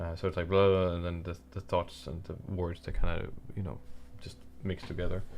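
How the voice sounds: A man mumbles at a low pitch with little pitch movement. His tone is slightly mellow. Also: fairly quick pace.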